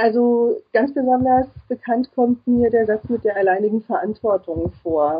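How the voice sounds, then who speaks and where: This woman has an unremarkable speaking voice with a fairly high pitch. She talks at a fairly slow pace with ordinary pitch variation. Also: very even loudness. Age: 30s. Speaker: psychology student and single mother. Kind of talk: interview.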